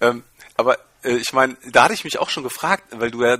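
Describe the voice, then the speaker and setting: This man's voice has a medium pitch and a bright, sharp tone at a moderate pace. The sound is dry and close with no echo, in a very clean recording with a silent background. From Germany. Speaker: podcast guest, lacrosse player. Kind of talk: casual interview.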